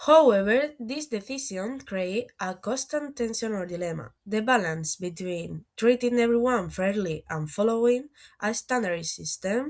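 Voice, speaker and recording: A woman's fairly high voice with lively intonation at a moderate pace, on a very clean recording with a silent background. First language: Spanish. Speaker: university student. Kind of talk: student presentation.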